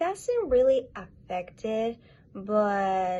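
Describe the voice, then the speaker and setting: A woman's somewhat breathy, medium-pitched voice with a Spanish accent. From Latin America. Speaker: interviewee, creator's girlfriend. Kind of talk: casual interview chat.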